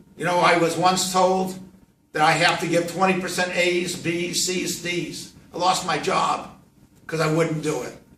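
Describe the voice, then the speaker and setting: Audible room echo surrounds a man speaking at a fairly slow pace. His high pitch stays monotone and flat. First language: Yiddish. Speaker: professor and rabbi. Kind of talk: classroom talk to students.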